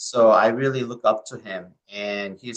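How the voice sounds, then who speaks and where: In a Korean accent, a man talks at a fairly slow pace with a fairly low pitch. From South Korea. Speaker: medical oncologist. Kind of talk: interview. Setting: podcast.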